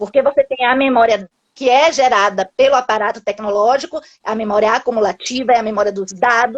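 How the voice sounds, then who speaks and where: In a plain, everyday voice, a woman talks at a fairly quick pace and fairly high pitch with ordinary pitch variation, in a dry, close sound with no echo. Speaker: linguistics professor. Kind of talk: academic talk in live interview. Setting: video call live stream.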